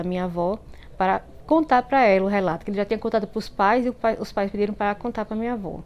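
The speaker is a woman with medium pitch. Her pitch varies in an ordinary way. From Bahia, Brazil (interior, semi-arid). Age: 40s. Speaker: listener sharing a story. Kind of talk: personal storytelling. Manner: halting, many fillers and repetitions.

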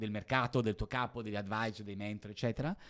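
A man speaking at a fairly quick clip on a very clean recording with a silent background. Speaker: entrepreneur. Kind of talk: interview. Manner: fast.

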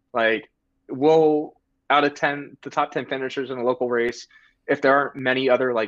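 A man's plain, everyday voice with an American accent, medium in pitch, at a moderate pace, with a dry, close sound, no echo and a quiet background. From Delaware, US. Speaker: competitive distance runner. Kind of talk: casual chat. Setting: video call.

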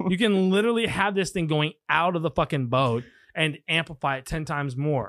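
In a very clean recording with a silent background, a man with an American accent talks at a fairly quick pace, his fairly high pitch carrying lively intonation and an animated tone. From Texas. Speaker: pilot and former college football and rugby player. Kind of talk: casual chat.

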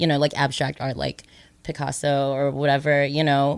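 On a very clean recording, a woman talks against a silent background. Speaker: astrologer. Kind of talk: casual chat.

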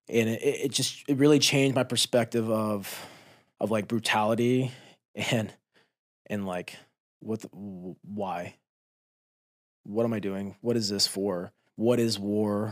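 With a fairly low pitch, a man talks at a fairly slow pace with fairly even intonation. Long, frequent pauses break up his speech. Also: very clean recording, silent background. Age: 30s. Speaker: military veteran. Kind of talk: casual chat. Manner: halting.

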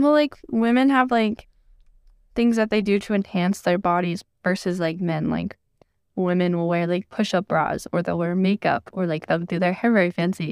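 In a very clean recording with a silent background and a dry, close sound with no echo, a woman with an ordinary speaking voice talks at a medium pitch and moderate pace with ordinary pitch variation. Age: 20s. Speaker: podcast guest. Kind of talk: casual chat.

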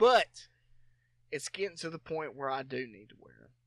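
Recorded dry and close with no echo, a man talks with ordinary pitch variation. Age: 30s. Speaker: podcast co-host. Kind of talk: casual chat.

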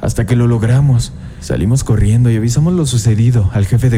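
A man talks at a fairly quick pace in a medium-pitched voice. Noticeable background noise runs underneath. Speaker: horror podcast host reading a listener's story. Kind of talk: ghost story telling, first-person scary narration. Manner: hushed, suspenseful, building dread.

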